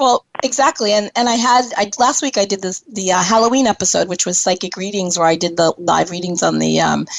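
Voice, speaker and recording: A woman talks at a fairly quick pace with a medium pitch and ordinary pitch variation. Noticeable background noise is present. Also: hardly any pauses. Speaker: internet radio talk show host. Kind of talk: casual chat. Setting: live internet radio show.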